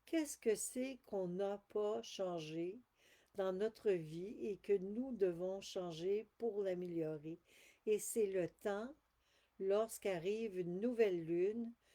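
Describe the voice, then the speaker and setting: A woman with a Quebec accent speaks at a medium pitch in a dark, mellow tone. She goes at a very slow pace with ordinary pitch variation. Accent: Québécois French. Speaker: spiritual channeler. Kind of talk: live stream talk. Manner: halting.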